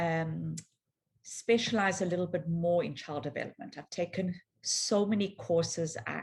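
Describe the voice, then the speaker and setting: A woman speaks at a fairly low pitch and moderate pace. Her voice is somewhat breathy, with ordinary pitch variation. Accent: South African. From South Africa, Johannesburg. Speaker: physiotherapist. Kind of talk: conference talk.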